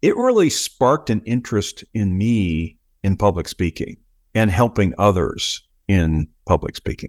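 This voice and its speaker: A man with an American accent and a normal speaking voice, fairly low in pitch, with lively intonation at a fairly slow pace, in a dry, close sound with no echo and a very clean recording with a silent background. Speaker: engineer, project delivery officer, public speaking coach. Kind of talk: interview.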